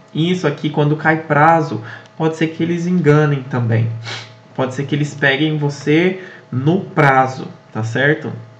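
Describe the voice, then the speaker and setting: With music playing behind him, a man speaks in a fairly high voice at a fairly slow pace, his intonation fairly even. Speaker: exam prep tutor. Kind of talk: casual study tutorial to camera.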